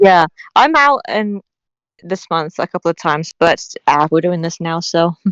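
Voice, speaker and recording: Her voice sits fairly low for a woman, moving at a moderate pace with ordinary pitch variation, and the sound is dry and close with no echo against a quiet background. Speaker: podcast co-host. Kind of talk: casual chat. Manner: stumbles over words.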